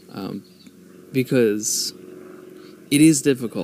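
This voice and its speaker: A man's voice at a medium pitch. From United States. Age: 30s. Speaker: podcast host. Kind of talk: solo monologue. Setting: outdoors. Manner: slow.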